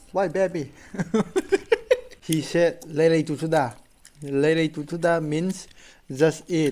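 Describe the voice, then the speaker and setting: Long, frequent pauses break up a man's very slow speech, pitched fairly high. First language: Rongmei or Manipuri. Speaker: food vlogger. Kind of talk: mukbang vlog chat. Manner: halting.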